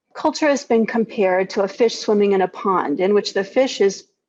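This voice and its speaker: A woman with an unremarkable speaking voice, medium pitch, a moderate pace and ordinary pitch variation. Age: 60s. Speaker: keynote speaker, physician. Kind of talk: keynote speech. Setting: video call.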